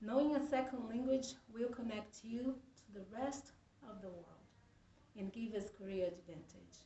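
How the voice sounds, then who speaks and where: Amid audible room echo, a woman with a Brazilian Portuguese accent talks at a moderate pace, her fairly high voice showing ordinary pitch variation and big swings in loudness. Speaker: student. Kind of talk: persuasive speech. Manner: halting.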